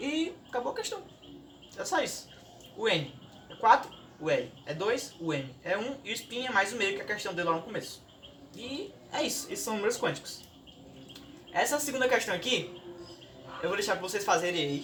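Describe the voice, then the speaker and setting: Amid noticeable background noise and audible room echo, a man with a high pitch uses very wide pitch swings and leaves long, frequent pauses. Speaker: student youtuber. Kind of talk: tutorial. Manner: fast; casual.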